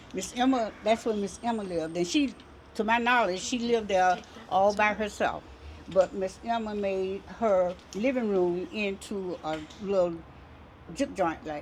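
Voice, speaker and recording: A woman with an American accent and a plain, everyday voice speaks at a fairly slow pace. Her pitch is medium, with ordinary pitch variation. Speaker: community elder. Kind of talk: oral history interview.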